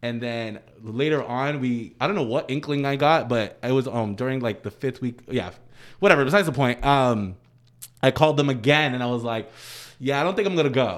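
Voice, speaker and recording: With an American accent, a man speaks in an unremarkable speaking voice at a fairly quick pace, medium pitch and ordinary pitch variation. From US East Coast, Dominican family. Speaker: professional dancer. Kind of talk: casual chat.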